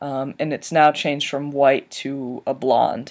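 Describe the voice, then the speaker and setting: Speaking at a fairly slow pace, a man with a fairly high pitch comes through in a very clean recording with a silent background. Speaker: video blogger. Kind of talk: personal vlog update. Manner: halting, many fillers.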